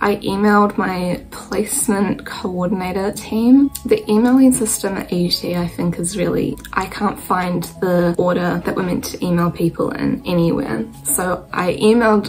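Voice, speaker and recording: Over faint background music, a woman talks with hardly any pauses. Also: ordinary pitch variation, moderate pace. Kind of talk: casual vlog chat. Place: home room. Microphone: phone near.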